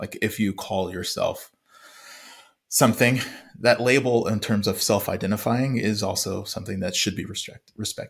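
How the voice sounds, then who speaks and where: A man with an American accent speaks in a somewhat breathy voice and fairly even intonation, on a very clean recording with a silent background. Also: fairly low pitch for a man, moderate pace. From USA, first-generation American. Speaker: podcast co-host. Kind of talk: casual chat. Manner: halting, stumbles over words.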